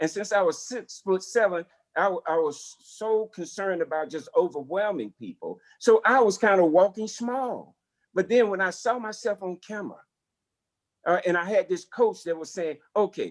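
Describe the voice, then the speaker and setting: In a strong Southern US accent, a man speaks at a high pitch with ordinary pitch variation, the sound dry and close with no echo. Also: moderate pace. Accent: thick Southern US. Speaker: corporate executive. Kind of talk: lecture Q&A on video call. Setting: video call. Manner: halting, many repetitions and fillers.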